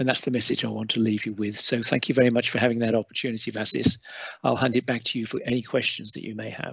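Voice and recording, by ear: A man talks fast in a fairly bright tone with a slightly husky edge and vocal fry, his pitch moving little. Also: medium pitch for a man.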